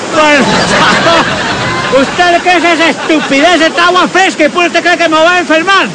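Over crowd noise in the background, a man talks at a moderate pace with hardly any pauses. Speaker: comedy sketch actor. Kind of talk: acted comedic dialogue. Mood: indignant, mocking. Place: waterside.

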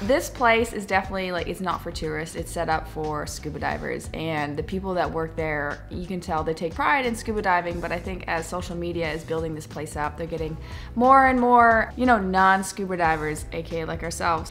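A woman's fairly quick speech with hardly any pauses, over faint music in the background. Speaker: travel vlogger. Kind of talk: casual vlog chat. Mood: reflective, mildly critical. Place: home room. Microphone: phone near.

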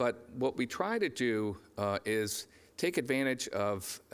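Ordinary pitch movement in a man's speech. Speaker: conference moderator. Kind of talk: conference introduction speech. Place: stage.

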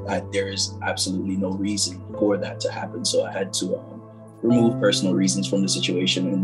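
Clear background music behind a man at a very fast pace. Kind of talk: interview answer. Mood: reflective, earnest. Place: home room. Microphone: phone near.

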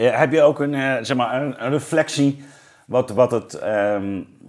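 A man at a medium pitch, very slow pace and lively intonation, against a quiet background. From Zeeuws-Vlaanderen, southern Netherlands; Netherlands. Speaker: podcast host, philosopher; podcast host. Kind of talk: interview conversation. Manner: halting, many fillers. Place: studio. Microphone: lapel.

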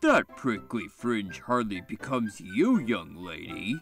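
Over faint background music, a man performs a put-on character voice with a rumbling quality. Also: medium pitch for a man, fairly slow pace. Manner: calm.

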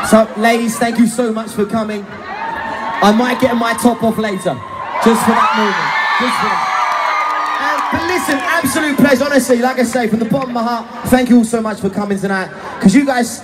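Someone talks at a fairly quick pace with crowd noise in the background. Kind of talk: stage banter to audience. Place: stadium.

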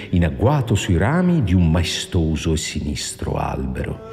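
Music plays in the background while a man talks at a moderate pace. His pitch moves in very wide swings. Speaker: narrator. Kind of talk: movie trailer narration.

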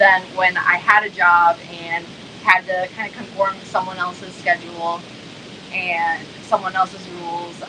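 A woman talks at a fairly slow pace. Noticeable background noise runs under her voice. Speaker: guest. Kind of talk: interview answer. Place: home room. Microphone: video call.

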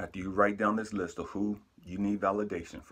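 A man's voice with vocal fry, over a quiet background. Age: 50s. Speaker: self-help vlogger. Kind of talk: motivational monologue to camera. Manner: emotional, candid. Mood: calm, reflective, earnest. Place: home room. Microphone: phone near.

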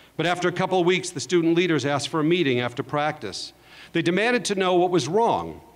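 At a very fast pace, a high-pitched man talks with ordinary pitch variation. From Los Angeles, San Fernando Valley; California. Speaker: entertainment executive; speaker. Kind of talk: commencement speech. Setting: stage with audience. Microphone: podium.

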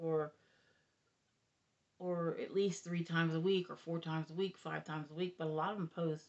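Over a quiet background, a woman with a fairly low pitch speaks at a moderate pace in a monotone, flat intonation, leaving long, frequent pauses. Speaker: grandmother vlogger. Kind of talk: casual talk to camera. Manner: rambling, hesitant. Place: home room. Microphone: phone near.

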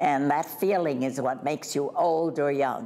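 At a fairly slow pace, a woman speaks in a dark, mellow tone with ordinary pitch variation and light background noise. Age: 80s+. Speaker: retirement community resident. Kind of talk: interview answer. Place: home room. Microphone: lapel.

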